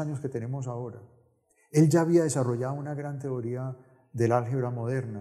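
Somewhat breathy, a man speaks with a dark, mellow tone and fairly even intonation. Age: 70s. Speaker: novelist. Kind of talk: interview. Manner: halting.

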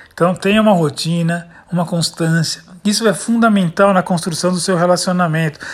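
A man's high-pitched voice moves at a moderate pace, with pitch that varies in an ordinary way. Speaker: sales trainer podcaster. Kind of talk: motivational talk. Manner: energetic.

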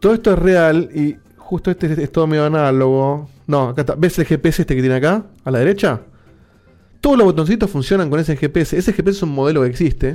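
Someone speaks at a fairly quick pace with a Rioplatense accent and ordinary pitch variation. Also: man, fairly high pitch for a man. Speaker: podcast host. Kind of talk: casual chat. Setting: video call.

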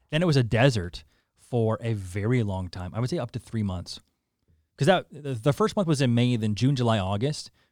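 A man with a Canadian accent talks at a fairly quick pace in a medium pitch, with lively intonation and an unremarkable speaking voice. The sound is dry and close with no echo. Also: very clean recording, silent background. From Saskatoon and Calgary, western Canada. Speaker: content creator and radio personality. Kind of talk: casual interview.

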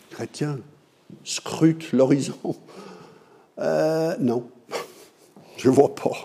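With noticeable background noise, a man with a fairly high pitch speaks very slowly, pausing long and often, with ordinary pitch variation. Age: 60s. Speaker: pastor. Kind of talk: sermon.

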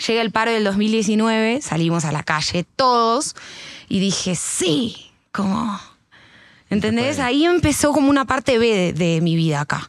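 With very wide pitch swings, a woman talks fairly slowly at a fairly high pitch in a Rioplatense accent. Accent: Argentine Spanish (rioplatense). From Argentina. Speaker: singer and rapper. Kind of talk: casual chat. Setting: at home.

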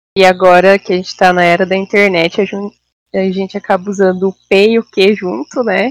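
A woman's unremarkable speaking voice at a medium pitch and moderate pace, with fairly even intonation and hardly any pauses, in a dry, close sound with no echo. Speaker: biologist. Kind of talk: casual chat.

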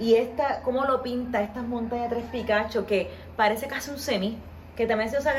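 Noticeable background noise and audible room echo surround the voice. The speaker is a woman. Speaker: podcast host and tour guide. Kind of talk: podcast interview. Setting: on location at guest's home.

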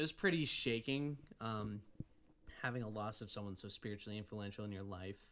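With an American accent, a man at medium pitch speaks in a bright, sharp tone at a moderate pace, with ordinary pitch variation and long, frequent pauses. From Oregon. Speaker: music student. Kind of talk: testimony.

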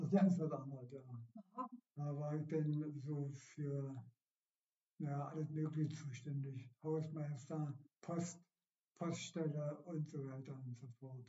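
This man's voice is fairly high and somewhat breathy, with fairly even intonation. He speaks at a very slow pace, leaving long, frequent pauses. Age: 70s. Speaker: retired amateur runner. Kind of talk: casual interview. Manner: halting.

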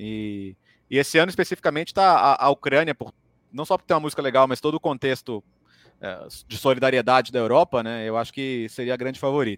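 A man's medium-pitched voice at a very fast pace with ordinary pitch variation, in a dry, close sound with no echo on a very clean recording with a silent background. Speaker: football pundit. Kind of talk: live video podcast interview.

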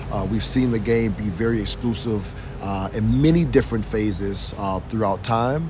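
With an American accent, a man talks at a moderate pace in a fairly low voice, amid audible room echo and noticeable background noise. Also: ordinary pitch variation. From Cleveland, Ohio. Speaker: football coach and former NFL lineman. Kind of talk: interview.

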